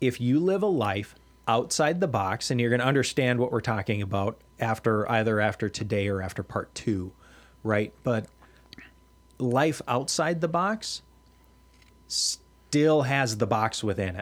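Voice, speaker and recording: A man's medium-pitched voice at a fairly slow pace, with lively intonation and long, frequent pauses. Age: 40s. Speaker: pastor and podcast host. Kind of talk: casual religious discussion.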